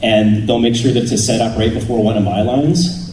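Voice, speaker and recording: A man with an American accent talks at a medium pitch. The room echo is audible, and there is noticeable background noise. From Canada. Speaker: voice actor. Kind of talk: convention panel Q&A, casual.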